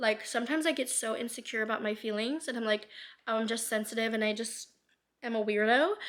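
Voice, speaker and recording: A woman speaks in an animated tone at a very fast pace, her pitch fairly high, on a very clean recording with a silent background. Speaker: lifestyle vlogger. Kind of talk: casual monologue vlog.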